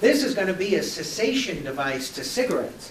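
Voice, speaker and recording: A man speaks at a high pitch and a moderate pace. Audible room echo and noticeable background noise fill the recording. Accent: New York. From New York. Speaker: presenter on youth substance prevention. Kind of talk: presentation. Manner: animated.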